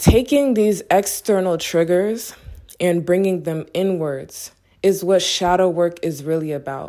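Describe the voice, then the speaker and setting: Speaking at a very slow pace, a woman uses a relaxed tone and ordinary pitch variation. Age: 20s. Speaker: solo podcaster on spirituality. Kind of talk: casual monologue. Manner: relaxed, with frequent fillers.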